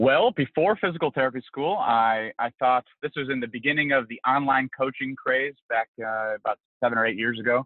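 Speaking in an American accent with a normal speaking voice, a man at medium pitch talks at a fairly quick pace with hardly any pauses and ordinary pitch variation. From Cleveland, Ohio. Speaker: physical therapist. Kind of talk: casual interview.

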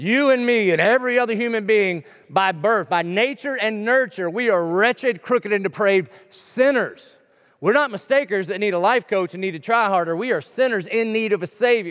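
With a Southern US accent, a man speaks in a high pitch with ordinary pitch variation. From South Carolina. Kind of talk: sermon. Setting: church.

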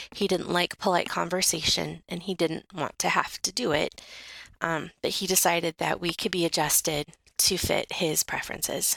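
A woman's vocal fry and monotone, flat intonation at a moderate pace, dry and close with no echo. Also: fairly low pitch for a woman. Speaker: radio co-host telling a personal story. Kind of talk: personal storytelling, pre-recorded. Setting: recorded separately, not in studio.

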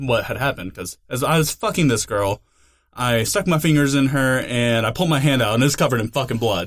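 This man has an unremarkable speaking voice at medium pitch, with lively intonation and a fairly quick pace. The recording is very clean, with a silent background. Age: 20s. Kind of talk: casual chat.

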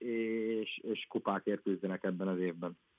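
A man is speaking. His intonation is fairly even. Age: 20s. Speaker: professional footballer. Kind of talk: interview. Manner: halting.

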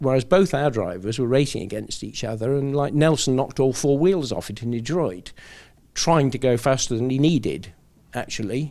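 A man's normal speaking voice at a fairly quick pace. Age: 60s. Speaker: retired racing car engineer. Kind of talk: interview. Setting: studio.

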